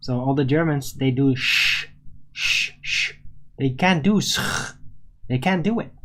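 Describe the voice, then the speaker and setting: Pausing long and often, a man with a Dutch accent talks at a fairly slow pace and fairly high pitch, with ordinary pitch variation. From Netherlands. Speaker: livestream talk show host. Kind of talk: live stream monologue responding to chat. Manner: halting, self-correcting.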